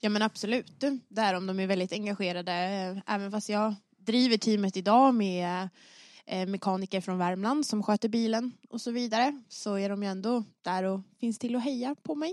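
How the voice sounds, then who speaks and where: Here a woman talks in an ordinary speaking voice at a medium pitch, with ordinary pitch variation. Her pace is moderate, and the background is quiet. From Stockholm, Sweden. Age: 20s. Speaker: rally driver. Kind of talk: podcast interview.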